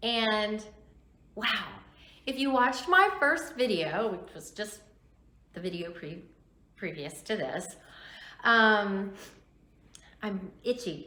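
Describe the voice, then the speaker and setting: A woman speaks at a very slow pace with long, frequent pauses, lively intonation and big swings in loudness. Audible room echo surrounds her voice. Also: fairly high pitch for a woman. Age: 60s. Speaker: YouTuber vlogger. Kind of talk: casual vlog talk to camera.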